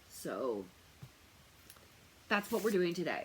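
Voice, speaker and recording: A woman speaks loudly, her pitch swinging very widely. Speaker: tarot reader and remote viewer. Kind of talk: casual talk to camera. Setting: wearing noise-canceling earphones. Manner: hesitant, many fillers.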